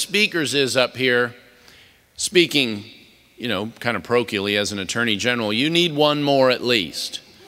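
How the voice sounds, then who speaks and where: A man's bright, sharp tone comes through at a moderate pace. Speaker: keynote speaker, politician. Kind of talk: political speech. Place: hall. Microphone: podium.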